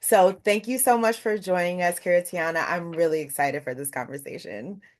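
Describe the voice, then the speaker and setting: An ordinary speaking voice from a woman, fairly low in pitch, at a moderate pace with lively intonation, over a quiet background. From Brooklyn, New York. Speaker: interview host. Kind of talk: interview.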